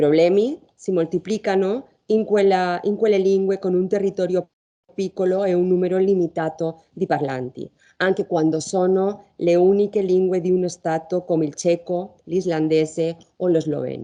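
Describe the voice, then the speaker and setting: Her dark, mellow voice sits at a medium pitch with fairly even intonation. The woman keeps a moderate pace. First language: Spanish or Catalan (speaking Italian). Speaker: law professor. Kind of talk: conference talk. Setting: university lecture hall, round table.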